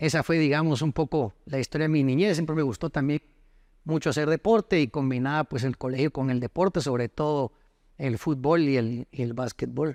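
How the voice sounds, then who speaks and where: A man with an unremarkable speaking voice talks at a fairly quick pace with a fairly high pitch and ordinary pitch variation, the sound dry and close with no echo over a quiet background. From Costa Rica until ten, then Guatemala. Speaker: lawyer and former footballer. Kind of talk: interview.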